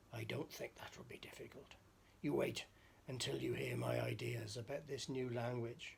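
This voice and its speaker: A put-on character voice, raspy and low in pitch, moves at a moderate pace. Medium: read story. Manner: scheming, gleeful.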